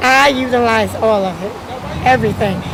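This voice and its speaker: Audible echo from the room and noticeable noise behind a woman's voice. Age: 70s. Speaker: community food program participant. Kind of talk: on-camera testimonial interview. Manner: halting, with fillers.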